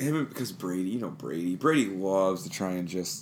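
A man's very deep, low voice moves through very wide pitch swings, with audible room echo around it. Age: 30s. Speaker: fantasy football podcast co-host. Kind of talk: casual chat. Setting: home basement.

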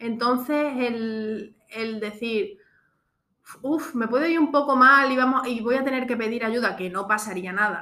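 A woman speaks at a moderate pace in a bright, sharp tone with ordinary pitch variation. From Extremadura, Spain. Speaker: podcast host, entrepreneur. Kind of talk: casual chat.

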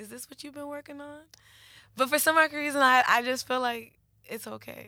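Raising and projecting her voice, a woman speaks high and animated in a bright, sharp tone with big swings in loudness. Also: moderate pace. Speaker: co-host. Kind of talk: casual chat.

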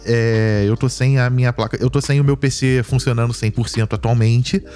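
A man with a medium pitch talks rather slowly as noticeable noise carries on behind him. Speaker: podcast co-host. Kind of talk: casual chat. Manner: talkative.

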